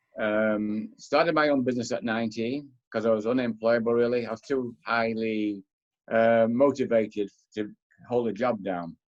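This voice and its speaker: In a Manchester accent, a man speaks with fairly even intonation. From northern England, Manchester. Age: 70s. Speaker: author and philosopher. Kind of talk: interview.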